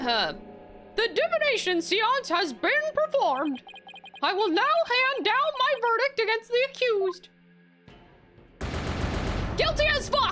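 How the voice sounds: Using a put-on character voice, a woman talks at a fairly slow pace in an extremely high pitch, with long, frequent pauses and faint music in the background.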